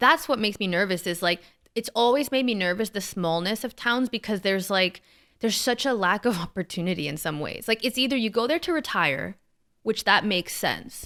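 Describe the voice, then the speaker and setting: Recorded very cleanly against a silent background, a woman with a medium-pitched voice and a bright, sharp tone talks fairly quickly with lively intonation. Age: young. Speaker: podcast co-host. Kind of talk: casual chat. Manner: halting.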